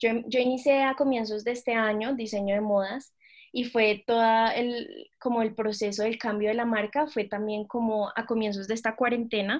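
A woman with a normal speaking voice talks at a moderate pace, her pitch fairly high and her intonation fairly even. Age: 20s. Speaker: fashion design student and entrepreneur. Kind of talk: interview.

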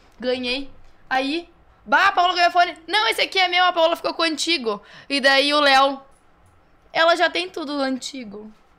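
A woman uses a raised, projected voice at an extremely high pitch, with a bright, sharp tone and lively intonation. She keeps a moderate pace, broken by long, frequent pauses. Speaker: DJ. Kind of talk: casual chat.

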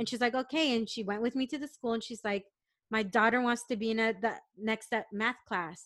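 Loud and animated, a woman with an American accent speaks at a fairly high pitch in a bright, sharp tone. Her pace is moderate, her pitch varies in an ordinary way, and the background is quiet. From San Diego, California. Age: 40s. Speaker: corporate professional. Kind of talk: casual interview conversation. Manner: loud, big personality; animated, laughing often.

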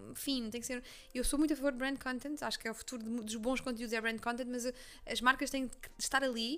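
In a Leiria accent, a woman speaks very fast with a high, bright, sharp voice and monotone, flat intonation. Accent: Leiria accent, people mistake it for Cascais. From Portugal, Leiria. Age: 20s. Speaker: journalist and content creator. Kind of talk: casual interview chat. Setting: at the host's home.

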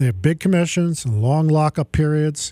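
At a fairly quick pace, a man with a fairly high pitch and a dark, mellow tone speaks with ordinary pitch variation, in a very clean recording with a silent background and a dry, close sound with no echo. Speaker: radio host and financial advisor. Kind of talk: live radio show, opening with a rant; pitchman-style rant against annuity sales, indignant and persuasive. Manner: impassioned, punchy, exasperated, emphatic; conversational, chatty, joking.

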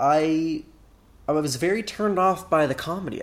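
This man has an unremarkable speaking voice, with fairly high pitch and ordinary pitch variation. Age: 20s. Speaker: podcast co-host. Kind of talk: casual chat.

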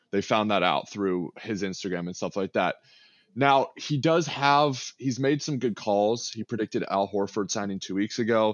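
A man with an American accent has a plain, everyday voice, fairly low in pitch, with ordinary pitch variation and a moderate pace. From Texas, Austin. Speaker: sports YouTuber and streamer. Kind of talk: casual chat.

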